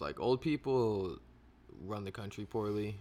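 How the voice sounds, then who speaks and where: A man with an unremarkable speaking voice, pitched fairly low and showing ordinary pitch variation, is heard on a very clean recording with a silent background. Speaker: podcast co-host. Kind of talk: casual chat.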